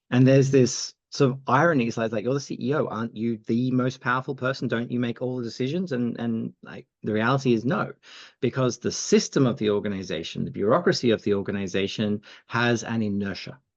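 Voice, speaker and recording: In an Australian accent, a man speaks at a fairly quick pace with a medium pitch and ordinary pitch variation. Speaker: agility institute co-founder. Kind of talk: podcast interview. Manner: halting, many fillers.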